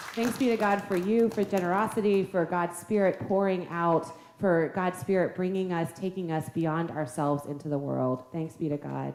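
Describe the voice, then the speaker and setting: Over noticeable background noise, a woman with a fairly low voice talks at a moderate pace with ordinary pitch variation and hardly any pauses. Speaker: pastor. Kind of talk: church announcements. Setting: church.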